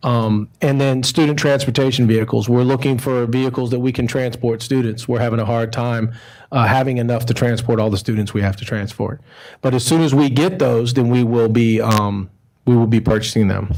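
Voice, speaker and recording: A man with an American accent at medium pitch, fairly even intonation and a fairly quick pace. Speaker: school transportation administrator. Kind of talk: presentation at board meeting. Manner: fast.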